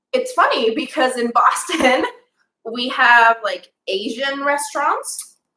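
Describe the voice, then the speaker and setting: Speaking very slowly in a raised, projected voice, a woman sounds bright and sharp, her pitch high with ordinary variation. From Japan, Osaka Prefecture. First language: Japanese. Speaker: teacher. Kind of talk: interview.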